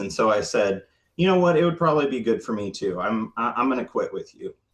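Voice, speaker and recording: With lively intonation, a man speaks in a plain, everyday voice. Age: 30s. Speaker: registered nurse. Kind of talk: interview answer.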